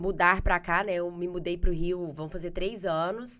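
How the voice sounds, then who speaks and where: Speaking at a fairly slow pace, a woman with a Goiás accent has a medium pitch. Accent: Goiás countryside. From Goiás, Brazil. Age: 40s. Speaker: marketing specialist. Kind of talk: podcast interview.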